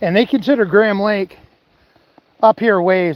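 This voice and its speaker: He speaks with an American accent. The man's voice is high, with ordinary pitch variation. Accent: Maine accent, strong when speaking fast. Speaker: outdoors vlogger, angler. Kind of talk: live-stream chat. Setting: outdoors, fishing by a lake. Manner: casual, conversational.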